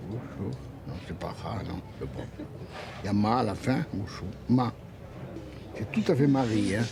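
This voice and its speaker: Long, frequent pauses break up a man's fairly slow, fairly low-pitched speech. His intonation is lively over noticeable background noise. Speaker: epigraphist, historian of Mesopotamia; storyteller. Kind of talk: documentary interview, explaining museum objects. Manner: warm, enthusiastic.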